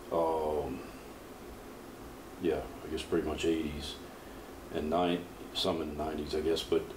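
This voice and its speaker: Over noticeable background noise and audible room echo, a man with an American accent and a very deep, low pitch speaks monotone and flat at a moderate pace, with long, frequent pauses. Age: 50s. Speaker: powerlifter and coach. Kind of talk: interview.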